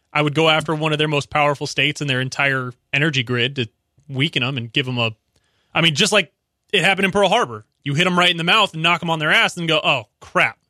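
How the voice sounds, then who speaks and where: This man has an unremarkable speaking voice, fairly high in pitch, with ordinary pitch variation and a fairly quick pace. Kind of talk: casual chat.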